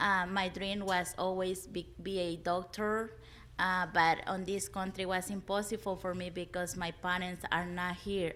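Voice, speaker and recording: A woman's medium-pitched, flat, monotone voice at a fairly slow pace, with music in the background. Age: 20s. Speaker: early childhood apprentice. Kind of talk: panel discussion.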